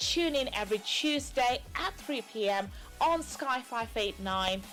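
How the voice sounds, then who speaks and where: Over music in the background, a woman speaks at a fairly high pitch with lively intonation. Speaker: talk show host. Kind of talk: TV talk show intro.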